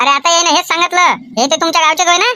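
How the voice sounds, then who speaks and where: A woman in a squeaky, cartoonish character voice, extremely high in pitch, with very even loudness, ordinary pitch variation, and a very fast pace. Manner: chatty, inquisitive.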